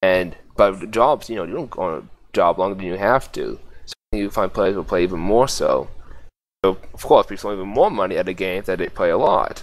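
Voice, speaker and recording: The voice moves at a fairly quick pace with big swings in loudness. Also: man. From US, Boston. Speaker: gaming guild leader. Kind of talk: podcast interview. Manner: halting.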